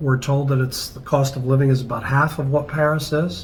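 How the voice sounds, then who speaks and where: A man's fairly high-pitched voice at a moderate pace, fairly even in intonation, with audible room echo and noticeable background noise. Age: 60s. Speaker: travel vlogger. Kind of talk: casual chat.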